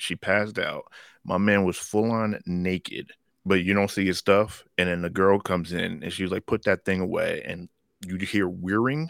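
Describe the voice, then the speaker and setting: A man speaks in a plain, everyday voice at a fairly low pitch and a moderate pace, with fairly even intonation, and the dry, close sound has no echo in a very clean recording with a silent background. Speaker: comic book fan podcast co-host. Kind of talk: casual banter about comics and movies. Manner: joking, playful.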